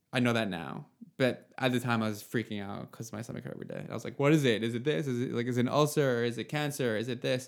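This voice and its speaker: Talking very fast, a man keeps a medium pitch and ordinary variation in it. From Nova Scotia, Canada (Yarmouth area). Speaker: app founder talking about anxiety. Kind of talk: casual chat.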